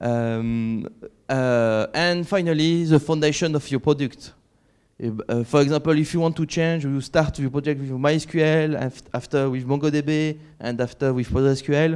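A man talks at a fairly slow pace and a fairly high pitch. His intonation is fairly even, and the background is quiet. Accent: strong French. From France (Catalan region). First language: French. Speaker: conference keynote speaker, software developer. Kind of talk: conference keynote talk. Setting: stage with audience. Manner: halting, many fillers. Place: hall.

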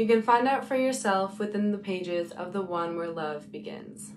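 A woman at a moderate pace, with ordinary pitch variation and light background noise. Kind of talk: spoken word poetry. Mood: earnest, preaching tone. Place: home room. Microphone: phone near.

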